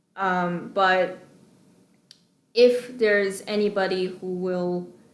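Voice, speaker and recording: Amid audible room echo, a woman with medium pitch speaks at a very slow pace. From China. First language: Chinese. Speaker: graduate student. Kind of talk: personal testimony. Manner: hesitant, many fillers.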